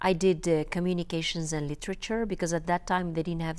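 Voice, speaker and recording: On a very clean recording with a silent background, a woman with a North African accent speaks at a fairly quick pace and a fairly low pitch. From Algeria. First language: Berber. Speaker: filmmaker and journalist. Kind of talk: interview. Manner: halting, many fillers.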